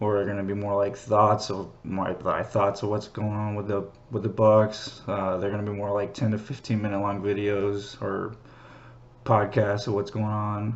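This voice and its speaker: A man's fairly low voice at a moderate pace, flat and monotone throughout. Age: 30s. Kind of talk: casual monologue. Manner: halting, many fillers.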